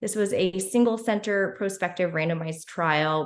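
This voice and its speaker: With audible room echo, a woman speaks at a fairly low pitch and with fairly even intonation. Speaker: physician researcher. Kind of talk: conference presentation. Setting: virtual symposium, screen sharing. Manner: fast; halting with fillers.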